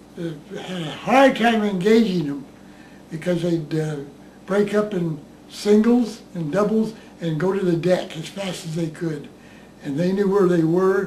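Using an American accent, a man speaks at a moderate pace with a high pitch and ordinary pitch variation. Long, frequent pauses break his speech, and there is light background noise. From United States. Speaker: war veteran. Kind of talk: interview. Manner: halting. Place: home room.

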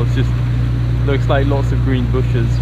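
Loud background noise runs under the speech. The pace is moderate. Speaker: travel vlogger. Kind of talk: casual vlog chat. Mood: relaxed, cheerful. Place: boat. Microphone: phone near.

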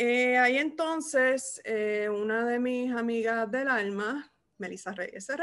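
A woman's high-pitched voice with a Puerto Rican accent and a bright, sharp tone. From Puerto Rico. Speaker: podcast host, archivist; podcast co-host. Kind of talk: casual interview. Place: home room. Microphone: video call.

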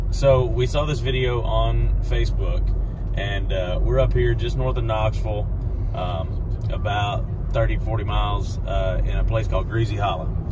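A man at a moderate pace, over noticeable background noise. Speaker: knife company host. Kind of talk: casual interview talk. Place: car.

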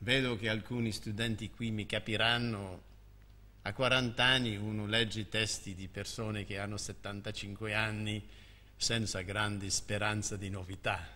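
The tone is bright and sharp, with flat, monotone intonation. The pace is fairly slow. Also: man, fairly low pitch for a man. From Canada. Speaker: history of science professor. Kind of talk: formal speech. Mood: warm, lightly humorous. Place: hall. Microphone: podium.

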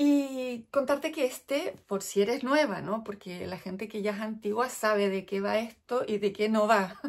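A woman with a Chilean accent talks at a fairly slow pace in a fairly high pitch, with hardly any pauses, against a quiet background. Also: ordinary pitch variation. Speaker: knitting vlogger; crafting podcaster. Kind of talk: casual chat. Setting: indoors at home. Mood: chatty, briefly wistful. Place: home room. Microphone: phone near.

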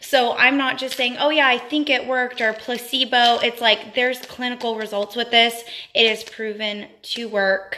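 A woman speaks at a high pitch and a moderate pace, with hardly any pauses. Her intonation is monotone and flat, over light background noise. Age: 20s. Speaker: beauty vlogger. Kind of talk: live stream product review. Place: home room. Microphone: phone near.

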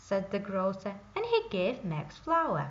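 Slowly and with a fairly bright tone, a woman speaks amid audible room echo.

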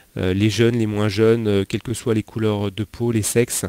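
A man's dark, mellow voice at a moderate pace, flat and monotone, dry with no echo. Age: 40s. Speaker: financial advisor; interview guest, money coach. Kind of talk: interview. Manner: halting, many repetitions and fillers. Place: home room. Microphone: headset.

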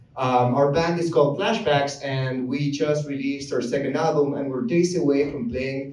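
Audible room echo around a man's fairly high-pitched voice. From Argentina. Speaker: musician, comedian, storyteller. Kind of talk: live comedic storytelling. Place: stage.

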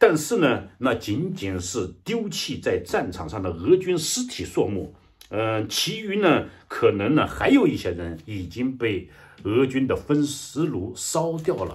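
At a fairly slow pace, a man speaks with vocal fry and very wide pitch swings. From China. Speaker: political commentator. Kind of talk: news commentary monologue. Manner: halting, many fillers. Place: home room. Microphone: webcam.

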